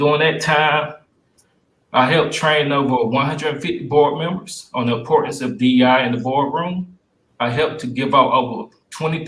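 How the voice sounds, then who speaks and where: A man with a Southern US accent, fairly high in pitch, at a moderate pace with ordinary pitch variation. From US South, Spartanburg, South Carolina. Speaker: city council candidate, entrepreneur. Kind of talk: candidate forum opening statement. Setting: virtual forum, video call.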